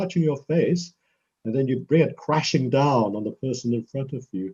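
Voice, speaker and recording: A man's somewhat breathy, dark, mellow voice at medium pitch with ordinary pitch variation. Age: 70s. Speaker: professor and karate practitioner. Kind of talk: interview answering a child's questions.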